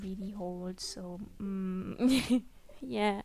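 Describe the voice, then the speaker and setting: Over a silent background in a very clean recording, a woman of medium pitch speaks with a non-native accent and fairly even intonation. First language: not English. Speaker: gaming YouTuber. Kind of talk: casual chat. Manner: halting, many fillers.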